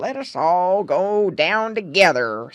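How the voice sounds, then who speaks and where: Using a put-on character voice, a woman speaks fairly slowly at a medium pitch with very wide pitch swings. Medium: read story. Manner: solemn, croaking.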